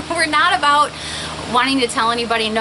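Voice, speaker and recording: Noticeable background noise sits behind a woman's voice. She speaks at a fairly quick pace with ordinary pitch variation. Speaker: stationery YouTuber. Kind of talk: casual vlog show-and-tell. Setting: outdoors. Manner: fast.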